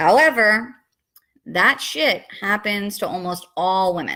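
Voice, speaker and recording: In a New York accent, a woman talks at a medium pitch with a bright, sharp tone and ordinary pitch variation. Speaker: vlogger. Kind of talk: testimony.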